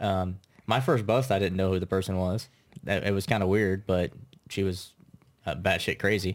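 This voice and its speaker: In a very clean recording with a silent background, a man with an American accent speaks at a moderate pace in a very deep, low pitch, with fairly even intonation, very even loudness, and long, frequent pauses. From US Midwest (Troy, Kansas). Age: 30s. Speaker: comedian and former police officer. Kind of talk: casual interview chat.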